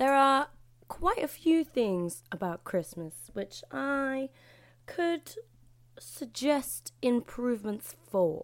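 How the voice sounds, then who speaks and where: A woman speaks very slowly in a British accent. Her voice is high, with very wide pitch swings. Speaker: podcast host. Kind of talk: solo monologue podcast. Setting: at home. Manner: loud.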